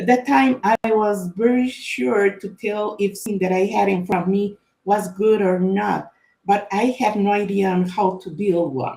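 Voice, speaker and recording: At a fairly slow pace, a woman with a Spanish accent speaks in a medium pitch with a dark, mellow tone. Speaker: author and data consultant. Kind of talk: book launch presentation. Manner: halting, many fillers and repetitions.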